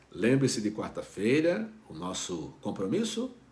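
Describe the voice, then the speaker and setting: This man speaks at a fairly slow pace with a medium pitch. His pitch swings very widely. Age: 60s. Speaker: pastor. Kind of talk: devotional talk. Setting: online video broadcast. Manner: conversational, with fillers.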